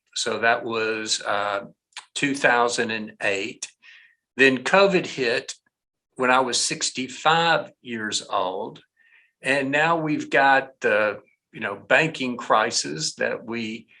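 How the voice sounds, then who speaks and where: A male voice at medium pitch with a bright, sharp tone, lively intonation, and a very slow pace. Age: 60s. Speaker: business consultant. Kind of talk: interview conversation.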